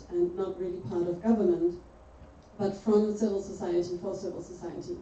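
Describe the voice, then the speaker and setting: Here a woman talks at a medium pitch. Audible room echo and noticeable background noise surround her voice. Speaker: lecturer on open source and public policy. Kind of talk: lecture. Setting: lecture hall with audience. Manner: fast when excited.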